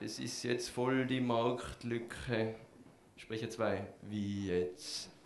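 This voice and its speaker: With noticeable background noise behind him, a man speaks very slowly at a medium pitch with fairly even intonation. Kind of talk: slam poetry performance, dialogue skit.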